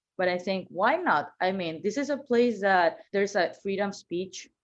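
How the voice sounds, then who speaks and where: With a Venezuelan accent, a woman talks at a fairly slow pace in a medium pitch that varies in an ordinary way. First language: Spanish. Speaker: marketing manager. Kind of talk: podcast interview, personal story.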